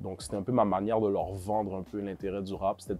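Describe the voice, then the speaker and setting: A man speaks with a Quebec accent. Music plays in the background. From Montreal, Quebec. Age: 20s. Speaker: rapper. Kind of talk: interview. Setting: studio. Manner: hesitant, many fillers.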